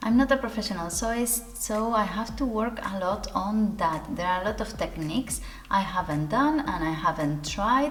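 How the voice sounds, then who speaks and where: A woman with a non-native accent speaks at a moderate pace and a fairly high pitch, with lively intonation. Audible room echo and noticeable background noise are present. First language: not English. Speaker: sewing youtuber. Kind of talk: casual talk to camera. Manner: conversational, some hesitations.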